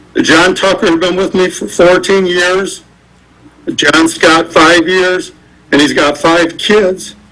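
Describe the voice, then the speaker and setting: A man's high voice at a very slow pace, with fairly even intonation and audible room echo. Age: 60s. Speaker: business owner making public comment. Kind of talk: public comment at council meeting. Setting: city council meeting.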